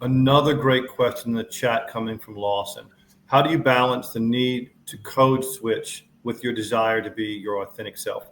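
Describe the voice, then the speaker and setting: A man with an American accent at a moderate pace, fairly even intonation and big swings in loudness. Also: medium pitch for a man. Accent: Southern US, varies by setting. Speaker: panel moderator. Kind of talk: panel moderation.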